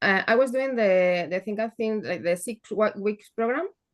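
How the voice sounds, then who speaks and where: With a Spanish accent, a woman speaks at a fairly high pitch, using ordinary pitch variation. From northern Spain. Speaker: program participant. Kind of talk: coaching call question. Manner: halting, hesitant.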